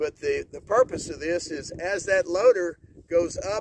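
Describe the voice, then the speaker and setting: A man speaks at a very slow pace. Loud background noise fills a dry recording with no echo. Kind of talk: tutorial. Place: farm machine. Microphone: phone near.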